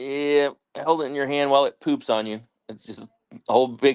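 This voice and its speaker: With a dry, close sound and no echo, a man with a plain, everyday voice speaks at a fairly high pitch and a moderate pace, using ordinary pitch variation. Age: 50s. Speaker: co-host or guest on homestead livestream. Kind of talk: casual chat.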